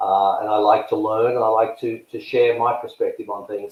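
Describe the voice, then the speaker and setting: A man speaks at a moderate pace with a slight Australian accent. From Australia, Melbourne. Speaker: tennis coach and search consultant. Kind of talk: interview. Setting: podcast.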